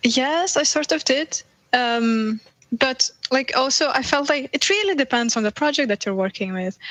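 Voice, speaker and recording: A woman with a Lithuanian accent speaks at a high pitch with lively intonation, in a dry, close sound with no echo. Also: moderate pace. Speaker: video game VFX artist. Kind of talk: casual interview chat.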